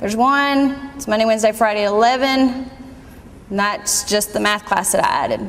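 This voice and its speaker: Delivery comes at a fairly quick pace with fairly even intonation. Noticeable background noise runs underneath. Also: woman. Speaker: college staff giving registration tutorial. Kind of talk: screen-recorded tutorial. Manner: loud.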